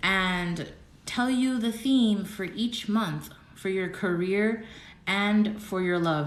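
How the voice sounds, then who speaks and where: A woman speaks at a fairly slow pace with a medium pitch. Her pitch varies in an ordinary way, and the room echo is audible. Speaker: tarot reader. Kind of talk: live-stream tarot reading. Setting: social media live stream. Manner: slow, deliberate at times; dramatic, animated.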